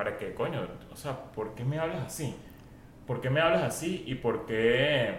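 Moderate pace and ordinary pitch variation, with noticeable background noise and audible room echo. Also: man. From Venezuela. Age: 40s. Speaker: podcaster and internet comedian. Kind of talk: casual chat.

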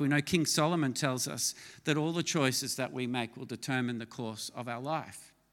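In an Australian accent, the speaker talks at a moderate pace with a bright, sharp tone and ordinary pitch variation. The recording is very clean, with a silent background. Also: man. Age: 50s. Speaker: pastor. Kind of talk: sermon.

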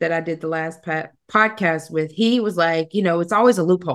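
A woman's ordinary speaking voice with an American accent, a moderate pace and ordinary pitch variation. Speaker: podcast host. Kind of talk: casual interview.

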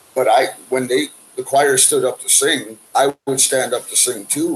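Noticeable background noise runs under the recording. A man is talking. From Canada, Manitoba (Winnipeg). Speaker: singer-songwriter. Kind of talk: interview, life story. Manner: halting, repeats words.

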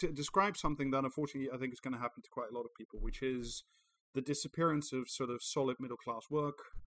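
A natural reading voice, its intonation lively

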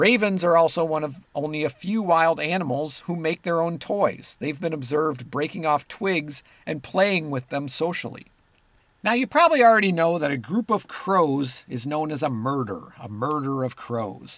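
A man's plain, everyday voice, fairly high in pitch, with lively intonation at a moderate pace. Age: 50s. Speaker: nature podcast host. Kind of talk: scripted narration.

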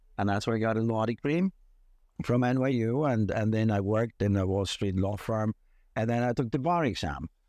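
Against a quiet background, a man speaks with a dark, mellow tone at very even loudness. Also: medium pitch for a man, ordinary pitch variation, fairly quick pace. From Liechtenstein. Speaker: lawyer. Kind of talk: interview. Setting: outdoors by castle, cold and rainy.

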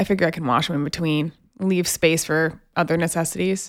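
Using a normal speaking voice, a woman talks at a fairly quick pace with a fairly low pitch. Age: 20s. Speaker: podcast co-host. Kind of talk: casual chat.

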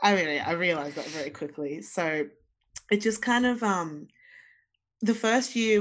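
A woman with an Australian accent at a moderate pace, ordinary pitch variation and a quiet background. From Zimbabwe, raised in Australia. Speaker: singer-songwriter. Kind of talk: casual interview chat.

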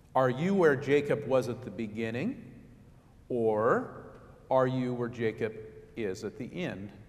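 In a room with audible echo, a man speaks at a fairly slow pace with long, frequent pauses and ordinary pitch variation. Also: medium pitch for a man. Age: 50s. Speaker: pastor. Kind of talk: sermon.

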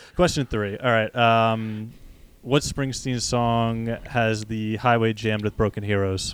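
A man speaks in a normal speaking voice with an American accent, at a fairly slow pace, with fairly even intonation and a medium pitch. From New Jersey, US. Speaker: podcast host and running store co-owner. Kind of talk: casual interview chat. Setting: video call.

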